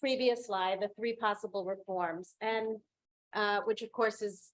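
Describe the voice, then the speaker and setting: Speaking at a fairly slow pace, a woman uses fairly even intonation and a fairly high pitch. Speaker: law professor, moderator. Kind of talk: Q&A moderation. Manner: loud. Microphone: no microphone.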